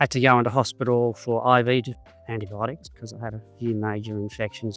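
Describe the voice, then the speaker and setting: Music plays behind a man who speaks in an Australian accent at a moderate pace, his pitch medium. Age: 70s. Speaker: cystic fibrosis patient. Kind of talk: personal testimony.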